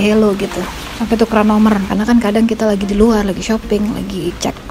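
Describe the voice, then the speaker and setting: Amid noticeable background noise, a woman speaks at a fairly high pitch in a monotone, flat intonation. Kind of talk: casual vlog talk to camera. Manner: whispery, quiet.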